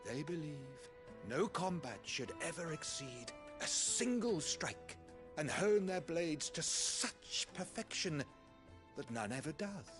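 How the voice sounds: A put-on character voice moves slowly with big pitch swings and a fairly bright tone, while faint music plays in the background. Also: man, fairly high pitch for a man.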